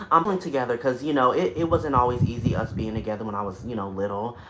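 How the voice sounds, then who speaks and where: A very fast delivery in an American accent, with noticeable background noise. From North Carolina. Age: 20s. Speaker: singer and former vlogger. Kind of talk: livestream chat. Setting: home studio apartment, on beanbag chair.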